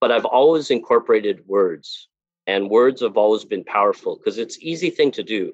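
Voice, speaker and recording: Talking fairly quickly, a man speaks in a Californian accent. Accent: Californian American English. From Los Angeles, near East LA. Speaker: themed entertainment sculptor and designer. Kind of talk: interview.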